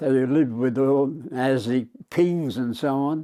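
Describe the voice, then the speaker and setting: With an Australian accent, a man speaks in a medium pitch and a dark, mellow tone, with ordinary pitch variation. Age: 80s+. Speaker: war veteran. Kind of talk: interview answer.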